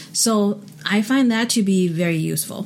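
The voice carries a Chinese accent and sounds somewhat breathy. It moves at a fairly slow pace. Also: woman. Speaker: podcast host. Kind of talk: casual chat. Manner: hesitant, fillers.

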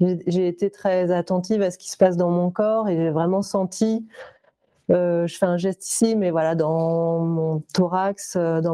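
A woman's fairly low-pitched, unremarkable speaking voice, fairly slow and fairly even in intonation, with a dry, close sound and no echo. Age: 40s. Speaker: visual artist and entrepreneur. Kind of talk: testimony.

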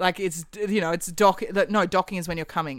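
A woman with an Australian accent speaks at a fairly quick pace in a medium pitch, her pitch varying in an ordinary way, on a very clean recording with a silent background. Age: 30s. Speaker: actor, podcast guest. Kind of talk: casual chat.

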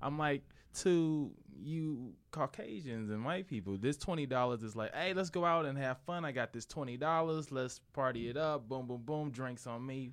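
This is a man with a normal speaking voice at medium pitch. He talks at a fairly slow pace with ordinary pitch variation. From St. Louis, US Midwest. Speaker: comedian and co-host. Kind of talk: casual chat.

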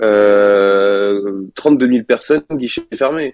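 The man's pitch varies in an ordinary way. His sound is dry and close, without any echo. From Bordeaux, France. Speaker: podcast team member. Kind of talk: casual chat. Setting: remote call.

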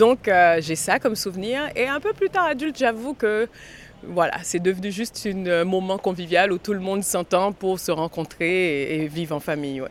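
A woman's lively intonation and moderate pace come through noticeable background noise. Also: medium pitch for a woman. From Haiti, Port-au-Prince. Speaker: actress and film director. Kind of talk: interview. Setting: outside a cinema after a screening.

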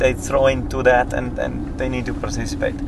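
Noticeable background noise runs throughout. Over it, a man talks very fast. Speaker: coaching clinic facilitator. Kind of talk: casual conference interview.

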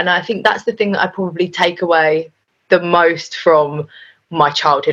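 Against a quiet background, a woman with a London accent speaks at a fairly quick pace in a fairly low pitch. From North London. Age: 20s. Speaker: radio DJ. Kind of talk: casual chat.

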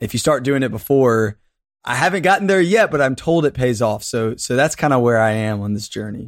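With a normal speaking voice, a man talks at a fairly quick pace and medium pitch, his intonation lively. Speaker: leadership content creator. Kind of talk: casual interview conversation. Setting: remote call. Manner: laughs often, playful.

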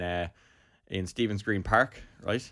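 In a very clean recording with a silent background, a man speaks with an Irish accent. His pitch is fairly low and his intonation fairly even. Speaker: part-time barber. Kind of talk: casual chat.

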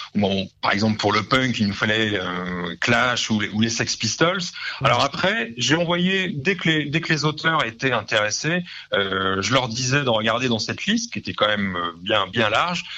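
At a fairly slow pace, a man speaks at medium pitch with very wide pitch swings. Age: 40s. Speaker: comic book and music writer. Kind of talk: radio interview. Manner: halting, many repetitions and fillers.

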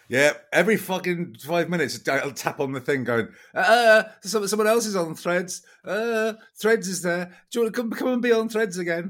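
With an English accent, a man talks at a moderate speed. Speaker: podcast co-host. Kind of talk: casual chat.

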